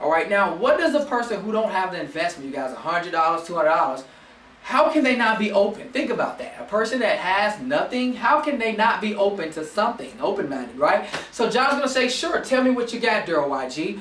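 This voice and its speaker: Over noticeable background noise and audible room echo, a man speaks at a fairly quick pace in an animated tone, his high pitch making very wide swings. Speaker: network marketing team leader. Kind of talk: motivational training talk. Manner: fast.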